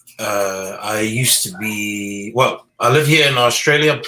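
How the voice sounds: The delivery is fairly slow and fairly even in intonation, with a bright, sharp tone and audible room echo. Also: man, fairly low pitch for a man.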